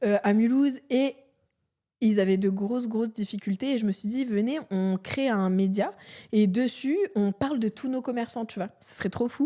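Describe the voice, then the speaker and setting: A woman's fairly high-pitched voice has a dark, mellow tone, ordinary pitch variation and a fairly slow pace. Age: 30s. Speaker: entrepreneur. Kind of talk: podcast interview. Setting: studio with cameras. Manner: casual, lots of fillers.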